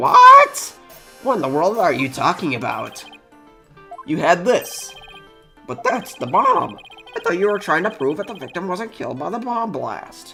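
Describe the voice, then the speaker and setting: A man's high-pitched, put-on character voice over faint background music. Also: moderate pace. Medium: game stream. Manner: flustered, surprised.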